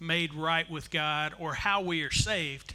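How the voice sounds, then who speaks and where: A high-pitched man's voice with fairly even intonation. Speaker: visiting pastor. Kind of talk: sermon. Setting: church, with interpreter. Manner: slow.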